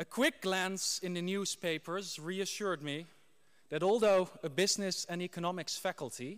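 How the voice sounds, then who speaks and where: A man with a Dutch accent, high-pitched, at a moderate pace, with ordinary pitch variation. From Netherlands. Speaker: graduate giving valedictory speech. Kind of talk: ceremonial speech. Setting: graduation ceremony hall with audience.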